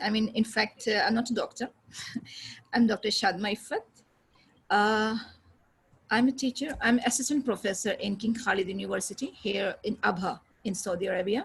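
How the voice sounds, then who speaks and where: Long, frequent pauses, a somewhat breathy quality and fairly even intonation. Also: woman, fairly high pitch for a woman, moderate pace. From India, Aligarh (Uttar Pradesh). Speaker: English teacher. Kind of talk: online class. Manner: halting.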